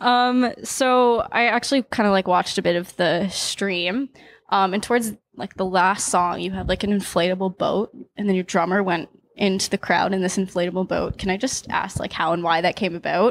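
An ordinary speaking voice from a woman with a Canadian accent at medium pitch and moderate pace, with ordinary pitch variation, a dry sound with no echo and light background noise. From Niagara Falls, Ontario, Canada; Ontario, Canada. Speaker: music interviewer. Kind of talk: casual interview. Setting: backstage before a concert. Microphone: handheld.

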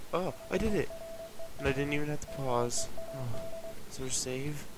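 The speaker goes at a moderate pace in a dry sound with no echo, with noticeable background noise. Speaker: gaming channel host. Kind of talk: gameplay commentary.

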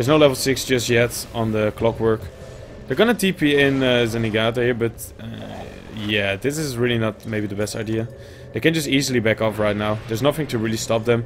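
A man with a Dutch accent over music in the background. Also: medium pitch for a man, ordinary pitch variation, fairly quick pace. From Netherlands. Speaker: esports caster. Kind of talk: live commentary.

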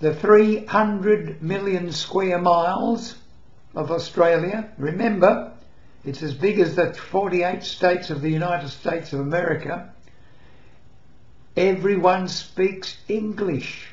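In a room with audible echo, a man with a high pitch speaks at a fairly slow pace with ordinary pitch variation. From England. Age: 80s+. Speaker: retiree. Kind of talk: casual talk to camera. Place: home room. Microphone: webcam.

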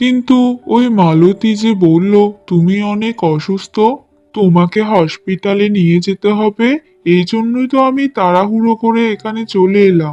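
Over faint background music, a man uses a cartoonish character voice pitched high for a man and delivered at a fairly slow pace. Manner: flustered.

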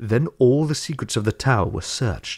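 A man's somewhat breathy voice in a dark, mellow tone, with dry sound, no echo and a quiet background. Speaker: book reader. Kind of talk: audiobook reading of fantasy prose. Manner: measured, even narrative pace; formal, storytelling tone. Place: home room.

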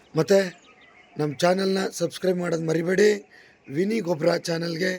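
A high-pitched man keeps his intonation fairly even through noticeable background noise. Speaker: comedian and travel vlogger. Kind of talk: casual travel vlog.

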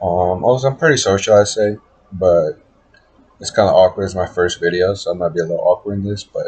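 A somewhat breathy voice at a fairly quick pace with ordinary pitch variation. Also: man, fairly low pitch for a man. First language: Spanish heritage, bilingual. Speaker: college student. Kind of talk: class introduction video. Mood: relaxed, slightly awkward. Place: home room. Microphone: webcam.

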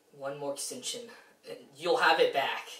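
A man's high-pitched put-on character voice at a moderate pace, with very wide pitch swings and audible echo. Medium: short film. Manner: deferential, pleading. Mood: begging.

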